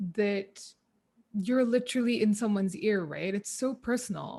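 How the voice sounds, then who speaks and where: At a moderate pace, a woman speaks at a medium pitch, somewhat breathy, with ordinary pitch variation, in a very clean recording with a silent background. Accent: Keralan. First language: Malayalam. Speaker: podcaster and former radio presenter. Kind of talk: interview conversation. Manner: casual, filler-heavy.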